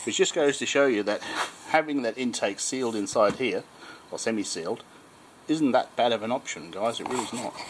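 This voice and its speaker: Spoken at a moderate pace, this clip has noticeable background noise behind it. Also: man. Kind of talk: tutorial. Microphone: phone near.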